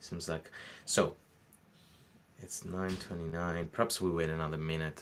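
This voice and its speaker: Long, frequent pauses mark a man's very deep, low voice, delivered in a monotone, flat intonation. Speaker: workshop host. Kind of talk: live online workshop. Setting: live stream. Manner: halting, many fillers.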